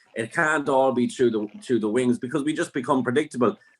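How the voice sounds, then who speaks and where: A man talks at a fairly quick pace in an Irish accent, with a medium pitch. His pitch variation is ordinary, and the background is quiet. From Ireland. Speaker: football fan pundit. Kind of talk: casual chat.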